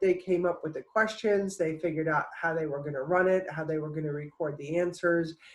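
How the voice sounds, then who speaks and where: Speech at a fairly quick pace comes with noticeable background noise. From New Jersey, US Northeast. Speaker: public health professor. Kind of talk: conference presentation. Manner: halting, many fillers.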